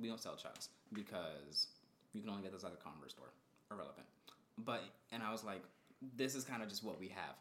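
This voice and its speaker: With vocal fry and an animated tone, a man of fairly low pitch races along at a very fast pace, with ordinary pitch variation and long, frequent pauses. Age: 20s. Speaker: podcast co-host. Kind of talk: casual chat.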